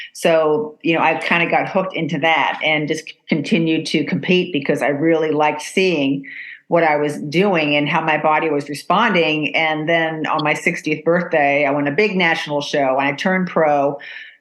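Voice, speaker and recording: Speaking at a moderate pace with hardly any pauses, a woman uses a very deep, low pitch, fairly even intonation and very even loudness. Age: 60s. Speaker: podcast host. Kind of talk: casual chat.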